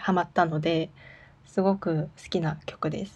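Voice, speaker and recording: Nervous, somewhat breathy woman's voice, fairly low in pitch, with a dark, mellow tone. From South Korea, Daegu. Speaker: Korean language teacher and podcast host. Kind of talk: casual solo talk reading listener messages. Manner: nervous, laughs often.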